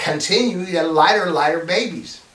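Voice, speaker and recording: Noticeable background noise is heard. Over it, a man talks at a moderate pace. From United States. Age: 60s. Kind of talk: casual talk to camera. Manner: hesitant, conversational.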